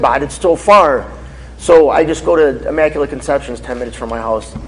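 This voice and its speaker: A man with an American accent speaks in an animated tone. Noticeable background noise sits behind him. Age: 30s. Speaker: faith speaker, former drug dealer. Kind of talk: Q&A after a testimony talk. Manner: casual, animated.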